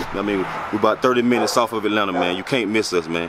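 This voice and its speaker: A man talks very fast with fairly even intonation and a fairly low pitch. Noticeable background noise is present, and the sound is dry with no echo. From Griffin, Georgia, US South. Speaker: community organizer. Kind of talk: casual vlog address to camera. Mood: earnest, advocating for hometown. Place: street. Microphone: phone near.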